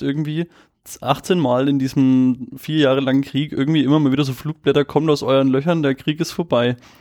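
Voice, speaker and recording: Fairly quick and monotone, a man speaks with flat intonation. His pitch is fairly high. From Nuremberg, Franconia. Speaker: podcast co-host. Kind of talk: casual storytelling chat.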